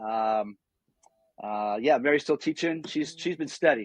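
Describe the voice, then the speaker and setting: Here is a man with an unremarkable speaking voice and an American accent, speaking at a moderate pace. His intonation is fairly even, and the sound is dry and close with no echo. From western New York (Niagara Falls, near Buffalo). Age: 60s. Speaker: former pastor, nonprofit founder. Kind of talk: podcast interview.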